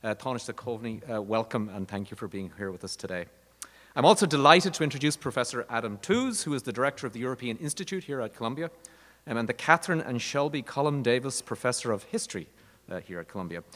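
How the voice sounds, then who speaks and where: Speaking very fast with an Irish accent, a man uses a medium pitch, lively intonation and big swings in loudness. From Ireland. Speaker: university dean. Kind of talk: formal introduction.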